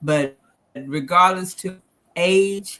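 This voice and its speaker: Very slow and bright, sharp in tone, a woman's speech shows ordinary pitch variation on a very clean recording with a silent background. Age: 70s. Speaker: financial stress speaker. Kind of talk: presentation.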